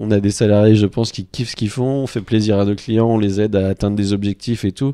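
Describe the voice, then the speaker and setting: A man speaks in a fairly low, dark, mellow voice with monotone, flat intonation. The background is quiet. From France, Normandy. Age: 40s. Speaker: sports marketing agency head. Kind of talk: casual chat. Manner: hesitant, many fillers.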